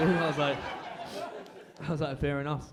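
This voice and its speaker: A man with an Australian accent talks at a fairly quick pace with fairly even intonation, with audible room echo and noticeable background noise. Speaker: stand-up comedian. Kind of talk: stand-up. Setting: stage with audience. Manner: casual.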